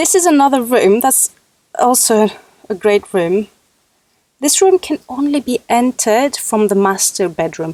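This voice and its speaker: A woman with a high pitch speaks at a fairly slow pace, leaving long, frequent pauses. Her pitch swings very widely, and the sound is dry and close with no echo. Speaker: Sims builder showing a build. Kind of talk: casual gameplay commentary. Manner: halting, self-correcting.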